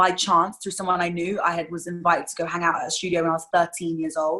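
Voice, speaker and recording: A woman with a London accent speaks very fast in a bright, sharp tone. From London, England. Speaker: singer-songwriter. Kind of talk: interview.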